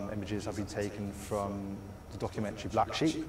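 Noticeable background noise sits under this man's fairly low-pitched voice. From southwest England. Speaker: student filmmaker. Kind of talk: project pitch presentation. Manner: halting, many fillers and repetitions. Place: stage.

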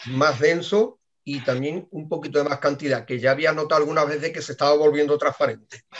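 A man speaks with a fairly high pitch. Light background noise can be heard. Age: 50s. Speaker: team member giving testimony. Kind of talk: testimony. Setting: video call. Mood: calm, personal. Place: office. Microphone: webcam.

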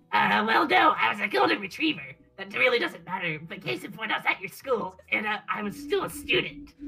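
Music plays in the background behind a female-sounding voice. The voice is a put-on character voice. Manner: apologetic, earnest.

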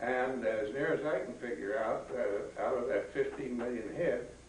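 A man is speaking with light background noise. Room echo can be heard. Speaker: retired livestock and sheep extension specialist. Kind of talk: history talk to a group. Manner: hesitant, filler-heavy. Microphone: camera far.

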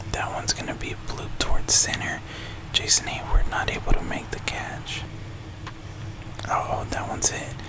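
Whispered speech from a man at a moderate pace. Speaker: video game streamer / YouTuber. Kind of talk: live play-by-play style gameplay commentary. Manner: casual, reactive. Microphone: studio mic.

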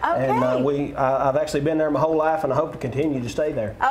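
Man with an Appalachian accent at a fairly quick pace over loud background noise. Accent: Southern US, Appalachian. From northeastern Tennessee. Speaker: bluegrass band musician, TV guest. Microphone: lapel.

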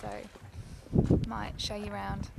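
Slowly and in a monotone, flat intonation, a woman with a medium pitch and slightly mellow tone talks with vocal fry over faint background noise.

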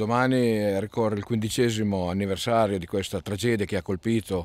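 This man has a fairly low pitch and talks at a moderate pace with ordinary pitch variation. The sound is dry, with no echo. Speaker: town mayor. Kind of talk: interview answer. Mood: solemn, commemorative. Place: garden. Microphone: phone near.

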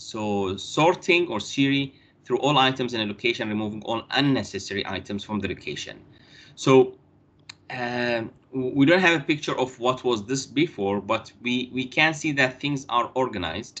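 The pace is moderate as a man talks. His pitch changes in an ordinary way. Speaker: university lecturer. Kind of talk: lecture. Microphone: video call.

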